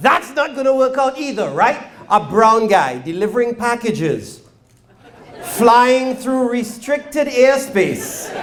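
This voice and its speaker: Speaking very slowly, a man uses an extremely high pitch with ordinary pitch variation. Noticeable background noise and audible room echo surround him. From Trinidad. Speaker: stand-up comedian. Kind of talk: stand-up. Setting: stage with audience.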